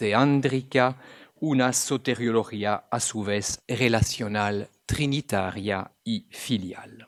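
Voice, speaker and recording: Recorded dry and close with no echo and a very clean, silent background, a man speaks at a very slow pace with ordinary pitch variation. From Belgium. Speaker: theology professor, Jesuit priest. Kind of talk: academic lecture. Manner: formal.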